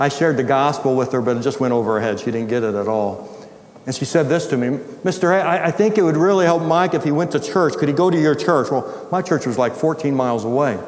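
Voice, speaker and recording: A man talks at a very fast pace with lively intonation and fairly high pitch, amid noticeable background noise and audible room echo. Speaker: retired pastor and ministry founder. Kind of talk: sermon.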